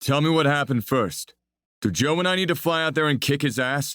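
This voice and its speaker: Putting on a gruff character voice, a man talks at a fairly quick pace and fairly high pitch, his loudness very even. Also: ordinary pitch variation. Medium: read story. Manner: blunt, gruff.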